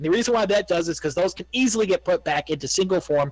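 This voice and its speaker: A man talking at a very fast pace, ordinary pitch variation. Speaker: gaming video creator. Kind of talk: gameplay commentary.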